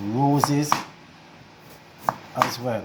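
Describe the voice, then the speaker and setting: A man speaks at a fairly high pitch with fairly even intonation over noticeable background noise. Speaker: home cook. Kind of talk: cooking tutorial.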